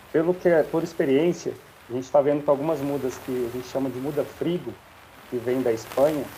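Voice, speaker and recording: Noticeable background noise sits behind a man who speaks with fairly even intonation. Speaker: strawberry grower. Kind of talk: live Q&A answer.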